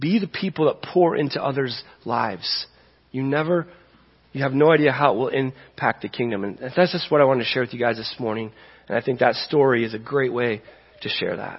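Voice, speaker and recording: This man has a plain, everyday voice. He talks at a fairly quick pace. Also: medium pitch for a man, ordinary pitch variation. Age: 40s. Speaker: pastor. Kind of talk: sermon.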